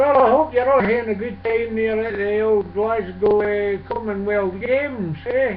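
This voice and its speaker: A man's high-pitched voice in a Scottish accent, fairly slow and fairly even in intonation, over noticeable background noise. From Scotland. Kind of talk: casual talk to camera.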